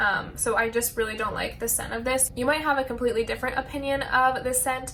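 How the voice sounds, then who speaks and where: Over noticeable background noise, a woman with a high voice talks fairly quickly with fairly even intonation. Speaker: beauty and lifestyle vlogger. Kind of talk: casual product review vlog.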